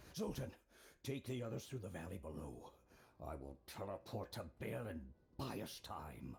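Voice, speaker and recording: A man puts on a character voice pitched very deep and low. His pitch swings very widely, broken by long, frequent pauses. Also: moderate pace. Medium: video game. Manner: grave, solemn.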